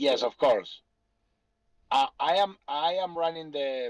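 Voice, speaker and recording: A man with a Spanish accent and lively intonation, in a dry, close sound with no echo. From Argentina. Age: 40s. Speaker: businessman. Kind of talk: Q&A on a group call.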